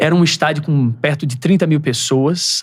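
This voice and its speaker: A somewhat breathy man's voice at a moderate pace with ordinary pitch variation. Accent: strong northeastern Brazilian. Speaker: sports TV reporter. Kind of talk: podcast interview, storytelling.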